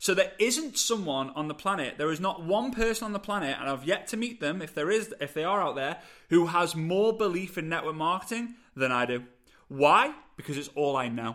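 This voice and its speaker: A man's high, bright, sharp voice in a British accent, on a very clean recording with a silent background. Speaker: podcast host, network marketing coach. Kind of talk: solo podcast monologue, motivational. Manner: animated, fast, passionate; energetic, gesturing.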